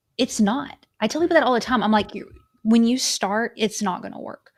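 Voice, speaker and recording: On a very clean recording with a silent background, a woman speaks at a moderate pace in a fairly high, somewhat breathy voice. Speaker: content creator and storyteller. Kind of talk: casual interview. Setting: live stream.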